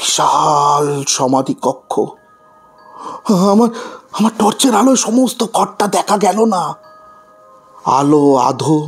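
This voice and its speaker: A man does a put-on character voice at a very slow pace, with faint music in the background. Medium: audio drama. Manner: tense, haunted storytelling.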